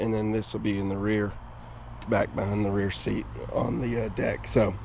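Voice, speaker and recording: There is noticeable background noise behind a man. He speaks at a moderate pace. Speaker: boat owner, DIY installer. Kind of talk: casual DIY tutorial talk to camera.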